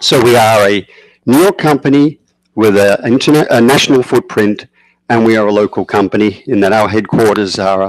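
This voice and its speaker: With an Australian accent, a man speaks at a fairly quick pace and medium pitch, his loudness very even and his pitch varying in an ordinary way, in a dry, close recording with no echo. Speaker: energy company project developer. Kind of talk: public presentation at town board meeting.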